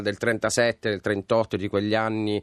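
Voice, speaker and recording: Against a quiet background, a man speaks in a flat monotone at a fairly low pitch, the sound dry and close with no echo. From Bari, Apulia, southern Italy. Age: 40s. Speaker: film producer. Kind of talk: radio interview. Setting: studio.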